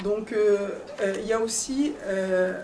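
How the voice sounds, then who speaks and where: A woman with a non-native accent speaks at a medium pitch and with fairly even intonation, amid audible room echo and noticeable background noise. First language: not French (speaking French). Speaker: pilgrimage organizer, conference speaker. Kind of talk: conference talk. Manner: halting, many hesitations.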